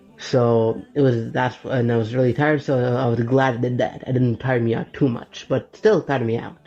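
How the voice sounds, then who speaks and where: Hardly any pauses, a moderate pace and noticeable background noise. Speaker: web developer vlogger. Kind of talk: casual vlog talk. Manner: halting.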